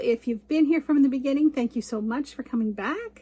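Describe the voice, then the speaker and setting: Over noticeable background noise, a woman with a Canadian accent talks in a high pitch with lively intonation. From Canada. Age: 60s. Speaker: cross stitch vlogger. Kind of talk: casual chat.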